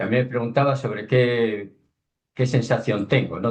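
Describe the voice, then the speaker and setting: A man speaks at a moderate pace. His medium-pitched voice is somewhat breathy. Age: 60s. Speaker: underwater documentary filmmaker. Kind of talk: webinar talk.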